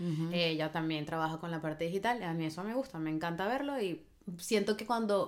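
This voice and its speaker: A woman talks in a plain, everyday voice at a fairly low pitch. Her pitch variation is ordinary. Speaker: podcast co-host. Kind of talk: casual chat.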